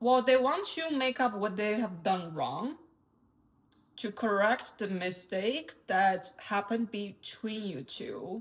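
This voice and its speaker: At a very slow pace, a woman with a non-native accent speaks at a fairly high pitch with lively intonation. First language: not English. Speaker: tarot reader. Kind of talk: tarot reading.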